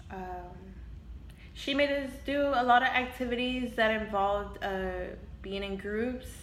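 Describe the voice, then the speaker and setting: With a Spanish accent and a high pitch, a woman talks at a fairly slow pace with ordinary pitch variation and long, frequent pauses, amid noticeable background noise and audible room echo. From Houston, Texas. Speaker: interviewee. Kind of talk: interview. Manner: hesitant, many fillers.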